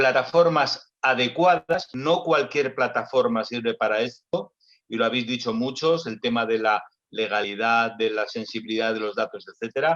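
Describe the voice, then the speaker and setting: A man speaks in a normal speaking voice at a medium pitch and a moderate pace, with ordinary pitch variation. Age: 60s. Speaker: doctor and health tech executive. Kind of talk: panel discussion.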